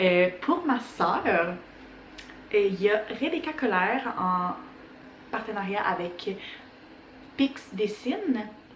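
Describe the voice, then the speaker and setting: In a Quebec accent, the speaker goes very slowly with long, frequent pauses and lively intonation, with audible room echo and noticeable background noise. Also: woman, medium pitch for a woman. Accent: Québécois French. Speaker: knitting podcaster. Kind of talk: casual chat.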